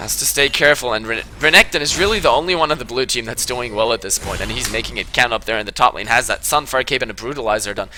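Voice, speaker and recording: Over music in the background, a man with a medium pitch and ordinary pitch variation speaks at a very fast pace in an energetic tone. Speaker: game shoutcaster. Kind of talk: esports shoutcast commentary. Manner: fast, energetic.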